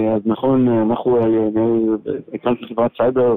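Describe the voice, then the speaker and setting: A man talks at a medium pitch. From Israel. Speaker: tech executive and investor. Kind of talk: interview. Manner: halting.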